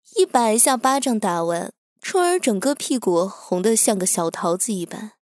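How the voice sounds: A natural reading voice with lively intonation over a quiet background.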